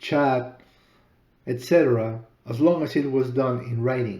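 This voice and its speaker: A man's dark, mellow, medium-pitched voice with a Spanish accent at a very slow pace. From Peru. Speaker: author and podcaster. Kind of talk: personal story narration.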